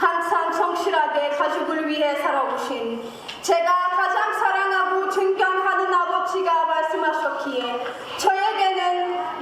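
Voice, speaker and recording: A woman at a very slow pace, with ordinary pitch variation and audible room echo. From Djibouti. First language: not Korean (Djibouti, self-taught Korean) (speaking Korean). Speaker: speech contest contestant. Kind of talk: oratory speech contest. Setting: stage with audience. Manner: formal.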